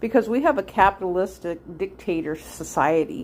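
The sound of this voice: A woman at a moderate pace, her pitch medium.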